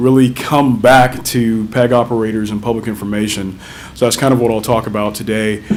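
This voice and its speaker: A flat, monotone voice at a fairly quick pace, with audible room echo and noticeable background noise. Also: man. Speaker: technology vendor presenter. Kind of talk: conference presentation. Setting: conference stage with audience. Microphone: too quiet at first, moved closer.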